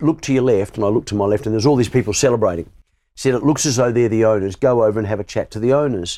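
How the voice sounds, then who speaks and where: A dark, mellow tone with an Australian accent, delivered at a very fast pace on a very clean recording against a silent background. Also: man. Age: 60s. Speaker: sports broadcaster. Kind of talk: interview. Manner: halting, repetitive starts.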